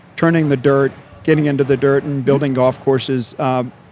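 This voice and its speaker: An unremarkable speaking voice, a man's at a fairly high pitch, moves at a fairly quick pace with fairly even intonation. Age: 60s. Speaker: podcast host, tourism bureau president. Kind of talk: casual interview chat. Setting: on location at a golf tournament.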